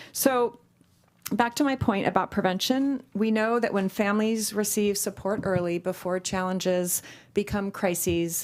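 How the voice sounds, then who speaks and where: Here is a woman with a plain, everyday voice at medium pitch. She keeps a moderate pace and fairly even intonation. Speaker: nonprofit executive director. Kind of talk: public presentation. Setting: public meeting chamber.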